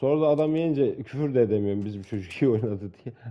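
A man speaks at a moderate pace and medium pitch. His intonation is lively. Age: 40s. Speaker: gaming streamer. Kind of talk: casual banter while gaming. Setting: online multiplayer game chat. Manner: animated, joking.

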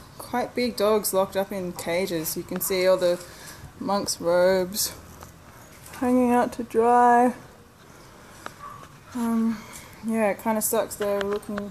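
Very slow speech from a woman with fairly even intonation over light background noise. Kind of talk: casual vlog chat. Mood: disappointed, somewhat sad. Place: street. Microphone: phone near.

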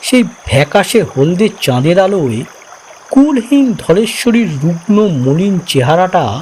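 Someone is reading aloud in a natural voice. The delivery stays even from start to finish.

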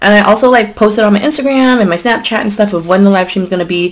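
A woman speaks at a fairly quick pace with lively intonation. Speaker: mukbang vlogger. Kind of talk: casual vlog chat. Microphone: camera far.

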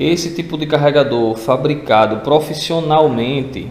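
His speech is fairly slow. The man's voice carries audible room echo. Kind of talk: casual tutorial vlog chat. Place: garage. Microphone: phone near.

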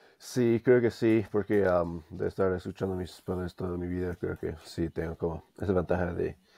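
Against a quiet background, a man with a very deep, low pitch and a dark, mellow tone speaks at a moderate pace with hardly any pauses and fairly even intonation. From US, Denver; Colorado. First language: English (speaking Spanish). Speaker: language learner; interview guest. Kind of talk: interview. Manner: hesitant, many fillers. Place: home room. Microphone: video call.

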